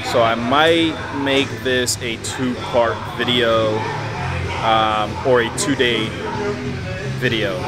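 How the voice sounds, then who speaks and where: A man talks over loud background noise. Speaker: fitness vlogger. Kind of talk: casual vlog chat.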